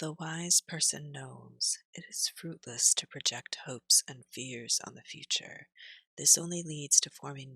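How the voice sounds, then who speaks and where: A woman speaks at a fairly slow pace in a soothing, calm tone, with a dry, close sound and no echo. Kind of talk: soothing ASMR reading for sleep.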